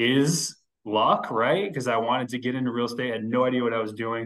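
Over a quiet background, a man with a medium pitch speaks at a fairly quick pace. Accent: American. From western Massachusetts. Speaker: real estate investor and home builder; podcast guest. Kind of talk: interview conversation. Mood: relaxed, reflective. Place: office. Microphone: video call.

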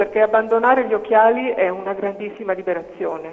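His intonation fairly even, a man talks with a high pitch. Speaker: caller, eye surgery patient; talk show guest. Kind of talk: phone-in testimony. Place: studio. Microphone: lapel.

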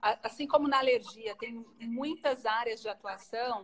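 Her pitch fairly high, a woman speaks at a moderate pace. The intonation is fairly even. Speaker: pediatric allergy doctor; guest. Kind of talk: live-stream interview. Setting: Instagram live video. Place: home room.

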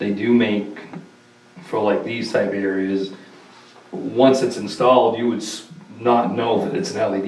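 Moderate pace from a man with a fairly low pitch, long and frequent pauses, and audible room echo. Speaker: town board member. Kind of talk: town council meeting. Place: meeting room.

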